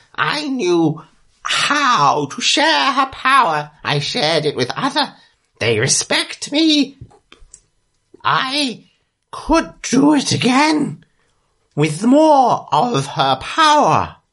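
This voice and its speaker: In a put-on character voice, fairly high in pitch, the speaker talks at a very slow pace with very wide pitch swings and long, frequent pauses. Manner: broken third-person speech, dramatic and self-pitying.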